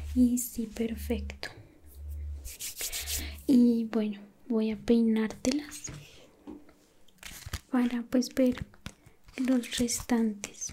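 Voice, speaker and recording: The voice has a dark, mellow tone and a monotone, flat intonation at a very slow pace. Long, frequent pauses break it up, with light background noise behind. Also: woman. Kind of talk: soft-spoken role-play. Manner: soft close whisper.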